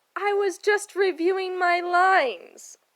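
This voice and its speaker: A woman puts on a loud character voice at an extremely high pitch, talking at a fairly slow pace with fairly even intonation. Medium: read story. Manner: dramatic, laughs loudly.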